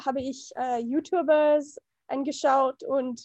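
Very slowly, a woman speaks with a dark, mellow tone. Her pitch is high and her intonation fairly even. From USA. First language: English (speaking German). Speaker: film and gender studies enthusiast. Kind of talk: casual chat. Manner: halting.

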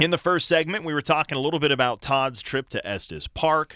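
A man talks at a fairly quick pace with an American accent and a bright, sharp tone. The recording is very clean, with a silent background and a dry, close sound with no echo. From Colorado. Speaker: radio host. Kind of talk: casual chat. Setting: studio.

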